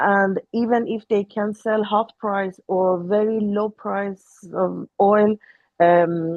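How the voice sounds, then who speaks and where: Monotone, flat intonation marks this voice with an Iranian accent. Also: woman. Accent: Iranian (Persian). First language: Persian. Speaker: Iranian opposition activist. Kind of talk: panel discussion. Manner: halting.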